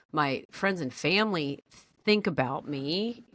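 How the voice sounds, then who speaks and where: Loud, fairly slow speech from a woman with a bright, sharp tone and a dry, close sound with no echo. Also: very clean recording, silent background. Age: 50s. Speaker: podcast co-host. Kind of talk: casual chat.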